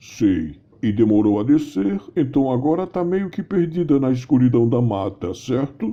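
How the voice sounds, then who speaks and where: A man uses a put-on character voice with a gentle tone and medium pitch. He keeps a moderate pace with hardly any pauses. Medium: audio drama. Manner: gentle, courteous.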